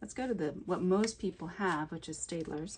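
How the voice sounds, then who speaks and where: This woman speaks quietly and somewhat breathily, her pitch swinging very widely. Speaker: coloring book illustrator, art tutorial creator. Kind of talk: tutorial. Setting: home art studio. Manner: gets quiet while drawing; casual, conversational.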